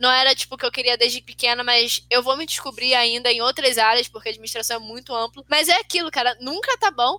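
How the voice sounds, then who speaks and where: A woman's very fast voice, high-pitched with a bright, sharp tone, ordinary pitch variation and hardly any pauses, in a dry, close sound with no echo. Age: 20s. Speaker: podcast co-host. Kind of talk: casual chat.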